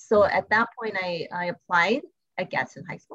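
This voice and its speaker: The delivery keeps a moderate pace and ordinary pitch variation. It is an ordinary speaking voice. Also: woman. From US Southwest, El Paso, Texas. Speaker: school principal. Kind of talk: interview.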